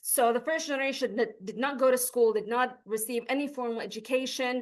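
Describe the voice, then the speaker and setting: The speaker has an Arabic accent and keeps to a moderate pace. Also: woman. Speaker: PhD researcher presenting. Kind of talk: academic lecture.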